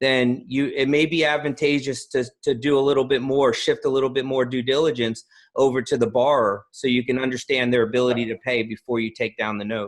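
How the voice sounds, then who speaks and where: A man with an American accent and a normal speaking voice talks at a fairly quick pace with hardly any pauses, using a medium pitch and fairly even intonation. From New Jersey, US. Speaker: podcast host, note investing author. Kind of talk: interview.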